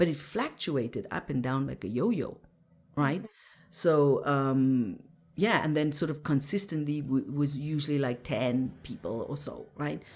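The woman's pitch is very deep and low. She speaks at a fairly slow pace with lively intonation. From Zimbabwe. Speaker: mindset mentor and meditation teacher. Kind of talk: interview conversation. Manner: halting, frequent restarts.

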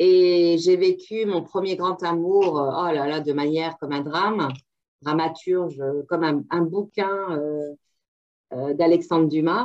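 A woman's fairly low voice at a very slow pace, with fairly even intonation and long, frequent pauses. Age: 50s. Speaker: burnout survivor retraining as sophrologist. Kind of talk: interview. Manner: halting.

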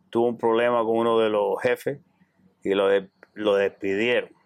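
Pitched at a medium level, a man speaks with monotone, flat intonation. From Cuba. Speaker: clothing store owner. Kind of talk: interview.

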